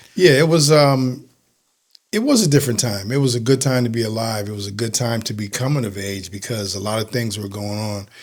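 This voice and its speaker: A man with an American accent speaks in an ordinary speaking voice at a fairly quick pace. His pitch is medium with ordinary variation, and his loudness swings widely. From Connecticut, Bridgeport. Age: 60s. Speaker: retired police officer and author. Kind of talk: interview chat.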